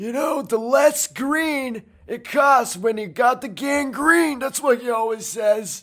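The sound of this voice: In a put-on character voice, the speaker uses a fairly high pitch and a fairly slow pace with hardly any pauses. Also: very clean recording, silent background.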